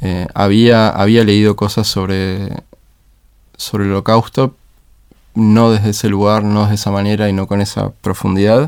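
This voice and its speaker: Speaking at a fairly slow pace, the man keeps a monotone, flat intonation at a fairly low pitch. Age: 30s. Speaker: education leader. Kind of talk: interview conversation. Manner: halting, many repeated words.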